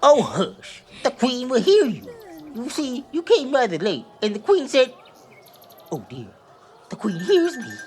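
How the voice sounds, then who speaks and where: A put-on character voice with a fairly high pitch comes with long, frequent pauses. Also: moderate pace. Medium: audio drama.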